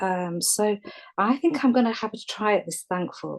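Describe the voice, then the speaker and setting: A woman with an English accent and lively intonation. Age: 60s. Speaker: caller. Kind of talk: casual chat. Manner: halting.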